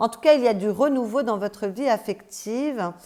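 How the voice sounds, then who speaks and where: Lively in intonation, a woman speaks at a fairly slow pace in a fairly high, dark, mellow voice. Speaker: tarot card reader. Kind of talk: intuitive tarot reading. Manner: hesitant, many fillers.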